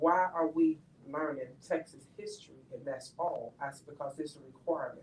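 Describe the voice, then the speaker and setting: A woman's very deep, low voice with an American accent, at a moderate pace with big swings in loudness. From Chicago, US Midwest. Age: 60s. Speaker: educator. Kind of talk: panel discussion. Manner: animated.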